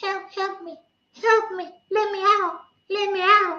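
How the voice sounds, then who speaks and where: A squeaky put-on character voice, extremely high in pitch, delivers the lines at a fairly slow pace in a monotone, flat intonation. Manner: pleading.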